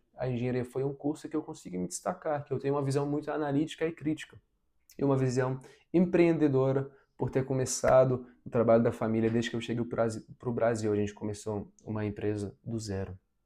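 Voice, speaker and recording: Speaking in a dark, mellow tone, the man has a non-native accent. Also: medium pitch for a man, ordinary pitch variation. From abroad, moved to Brazil as a teen. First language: not Portuguese (speaking Portuguese). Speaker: vlogger, engineering graduate. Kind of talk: personal vlog advice. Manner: reflective, relaxed.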